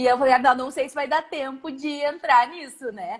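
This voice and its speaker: Her pace is fairly quick as the woman speaks. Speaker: psychologist and professor. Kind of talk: live-stream interview. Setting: Instagram live video call.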